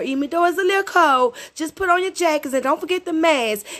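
A woman speaks with an American accent. Her tone is animated and upbeat. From Hattiesburg, Mississippi, US South. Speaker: radio DJ. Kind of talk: radio DJ patter between songs, shout-outs to the local area. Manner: animated, upbeat, hyped-up party-host energy, slangy and warm.

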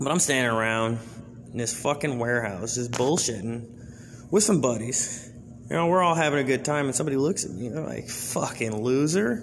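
Medium pitch from a man, moderate pace and ordinary pitch variation, plus audible room echo and noticeable background noise. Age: 20s. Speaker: comedian / podcast host. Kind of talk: stand-up style monologue. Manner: casual, profane storytelling.

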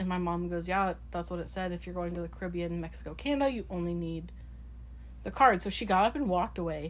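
Audible room echo surrounds a woman talking at a very fast pace. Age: 20s. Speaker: podcast co-host. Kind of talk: casual chat.

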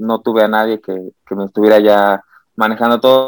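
The voice holds a monotone, flat intonation at a moderate pace. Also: man. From Mexico, San Luis Potosí. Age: 30s. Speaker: Olympic swimmer. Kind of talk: interview. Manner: halting.

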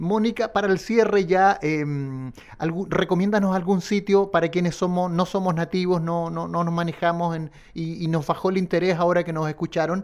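Here a man with a high pitch talks at a moderate pace. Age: 40s. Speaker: radio host. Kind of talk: radio interview. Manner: halting, repeats words.

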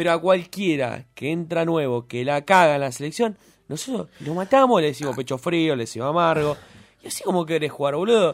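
A man with an ordinary speaking voice talks at a fairly quick pace. His pitch sits fairly high and his intonation is lively. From Buenos Aires (Floresta, raised in Lugano). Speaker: radio co-host. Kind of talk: casual chat. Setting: radio studio.

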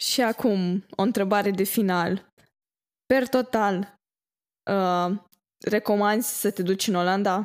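A woman speaks at a medium pitch and a very slow pace, with long, frequent pauses, very even loudness and fairly even intonation, on a very clean recording with a silent background. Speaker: podcast host. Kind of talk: interview.

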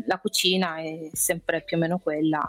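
With an Apulian accent, a woman talks at a fairly slow pace. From Apulia, Brindisi. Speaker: expat guest. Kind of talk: interview.

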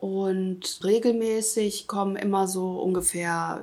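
A woman's medium-pitched voice at a very slow pace, with fairly even intonation. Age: 50s. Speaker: self-help group founder. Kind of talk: interview.

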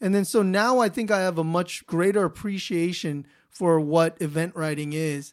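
With an American accent, a man speaks high for a man at a moderate pace with ordinary pitch variation, in a very clean recording with a silent background. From Los Angeles, US. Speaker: podcast host. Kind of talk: casual interview chat.

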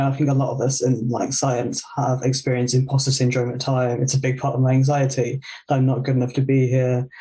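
A man's medium-pitched voice has a dark, mellow tone and sounds somewhat breathy. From West Midlands, England (near Birmingham). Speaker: graduate student. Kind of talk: casual interview chat.

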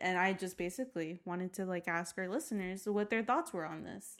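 A woman talks at a fairly quick pace with hardly any pauses, in a normal speaking voice. Her pitch is medium and her intonation lively. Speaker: podcast host. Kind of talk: casual chat.

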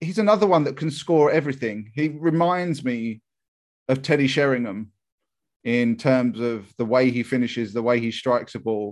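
Over a quiet background, a man with an English accent and medium pitch speaks at a moderate pace with lively intonation. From England. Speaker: football podcast co-host. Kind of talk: casual chat.

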